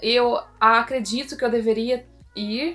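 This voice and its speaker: A woman with a high-pitched voice speaks over music in the background. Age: 20s. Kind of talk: casual talk to camera.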